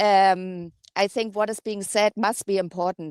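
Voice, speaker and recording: A woman speaks with a German accent at a fairly slow pace. The sound is dry and close, with no echo. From Germany. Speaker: caller. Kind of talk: call-in discussion. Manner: hesitant, many fillers.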